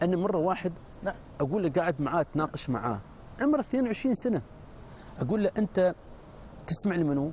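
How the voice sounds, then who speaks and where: A man with an Emirati accent speaks at a moderate pace in a high voice, his pitch swinging very widely, his loudness very even, with long, frequent pauses, a dry sound with no echo and light background noise. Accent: Emirati Gulf Arabic. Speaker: religious preacher. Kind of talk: TV panel discussion. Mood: earnest, admonishing. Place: studio. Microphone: lapel.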